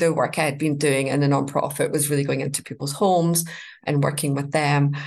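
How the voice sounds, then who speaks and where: This woman speaks in a Scottish accent with ordinary pitch variation. There is audible room echo. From Scotland. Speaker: life coach. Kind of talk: interview.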